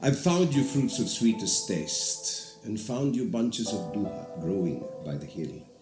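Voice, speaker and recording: The speech moves at a fairly slow pace, with very wide pitch swings. Music plays in the background. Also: man, medium pitch for a man, hardly any pauses. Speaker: stage and film actor. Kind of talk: poetry reading.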